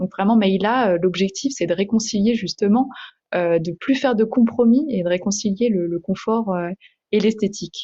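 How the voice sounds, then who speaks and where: Her voice sits at a medium pitch. This woman sounds somewhat breathy. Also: ordinary pitch variation, moderate pace. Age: 20s. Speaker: entrepreneur. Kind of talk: interview. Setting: podcast. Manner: hesitant, many fillers.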